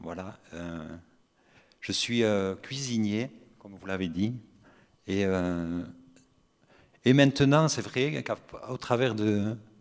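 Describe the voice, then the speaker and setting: Pausing long and often, a man with a Basque accent speaks very slowly in a fairly low pitch, with lively intonation and big swings in loudness. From French Basque Country. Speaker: cook in a nursing home. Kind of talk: roundtable discussion.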